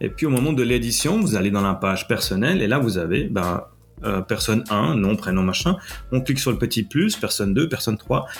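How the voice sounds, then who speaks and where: With music playing in the background, a man with a Swiss accent talks at a fairly quick pace with lively intonation and very even loudness. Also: medium pitch for a man. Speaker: podcast host and web developer. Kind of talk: solo tech podcast tutorial. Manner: casual, with frequent hesitations.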